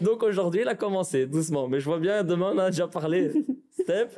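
The man's tone is dark and mellow. He speaks with lively intonation. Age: 20s. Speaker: professional footballer. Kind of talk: interview. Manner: halting.

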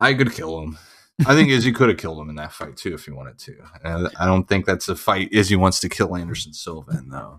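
A man's very deep, low, animated voice with an American accent and vocal fry, delivered at a very fast pace with very wide pitch swings and big swings in loudness. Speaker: gym trainer and former soldier. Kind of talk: casual chat. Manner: animated, joking.

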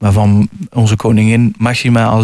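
Here a man has a normal speaking voice, medium in pitch with fairly even intonation. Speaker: author. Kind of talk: radio interview.

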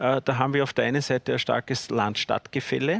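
With vocal fry and fairly even intonation, a man talks at a fairly quick pace and medium pitch in a dry, close sound with no echo. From Lower Austria. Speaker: politician. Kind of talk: panel debate.

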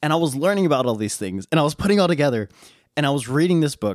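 Recorded dry and close with no echo on a very clean track with a silent background, a man with an American accent speaks at a medium pitch in an animated tone with very wide pitch swings. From western United States. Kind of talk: solo teaching monologue. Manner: animated, casual, with frequent laughs and fillers.

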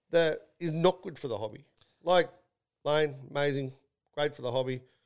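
At a fairly quick pace, a man with an Australian accent speaks in a fairly high pitch. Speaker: podcast host and company CEO. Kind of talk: casual chat. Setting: studio.

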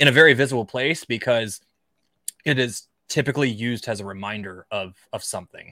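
On a very clean recording with a silent background, a man's bright, sharp tone comes across dry and close with no echo. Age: 30s. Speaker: offensive cybersecurity expert and author. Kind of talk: casual interview chat. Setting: live stream.

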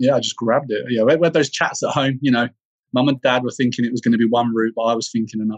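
In a southern English accent, a man speaks at a very fast pace with a medium pitch and fairly even intonation. The sound is dry and close, with no echo. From England, Bedfordshire. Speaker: leadership development professional. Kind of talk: interview.

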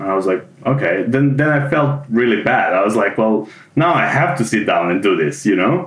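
This man speaks at a moderate pace and medium pitch, his voice swinging very widely in pitch while his loudness stays very even. Noticeable background noise runs underneath. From Serbia. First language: Serbian. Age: 30s. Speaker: junior web developer, former theatre automation technician. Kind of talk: interview.

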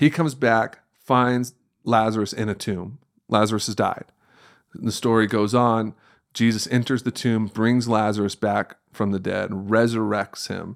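A man speaks in a plain, everyday voice at a medium pitch and fairly slow pace. His intonation is fairly even, and the recording is very clean with a silent background. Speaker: pastor. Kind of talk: casual conversational interview.

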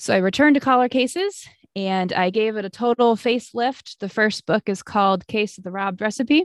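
This woman's voice sits fairly high, with ordinary pitch variation and hardly any pauses at a fairly quick pace. The sound is dry and close with no echo, over a quiet background. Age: 20s. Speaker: children's book author. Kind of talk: interview. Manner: hesitant fillers.

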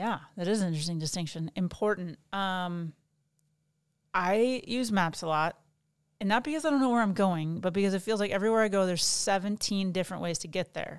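This woman has a normal speaking voice at a medium pitch, moving at a fairly quick pace. Her pitch varies in an ordinary way on a very clean recording with a silent background. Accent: American. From Ohio, Toledo. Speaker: pastor's wife. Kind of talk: casual chat.

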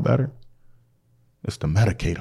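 With an American accent, the speaker has a dark, mellow tone, lively intonation and a moderate pace. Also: man. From Minnesota, Saint Paul. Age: 30s. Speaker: community organizer. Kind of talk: casual chat.

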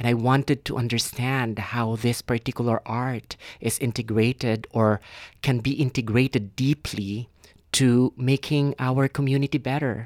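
Speaking with a Filipino accent, a man talks at a moderate pace and medium pitch, his intonation monotone and flat. The recording is very clean, with a silent background and a dry, close sound with no echo. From Philippines. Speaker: PhD student and theater director. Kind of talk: casual interview. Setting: studio. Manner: thoughtful, hesitant with filler words.

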